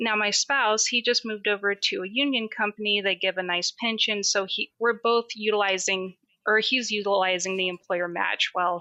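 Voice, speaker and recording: An ordinary speaking voice at a moderate pace. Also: woman. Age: 30s. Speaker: caller. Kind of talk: call-in conversation.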